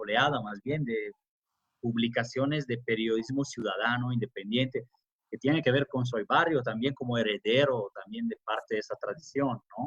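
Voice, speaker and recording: With ordinary pitch variation and a medium pitch, the man speaks at a moderate pace. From Italy. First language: Italian (speaking Spanish). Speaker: academic and journalist. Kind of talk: interview. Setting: remote conversation.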